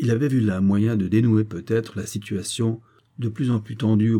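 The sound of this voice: The intonation is fairly even. It comes in an unforced reading voice.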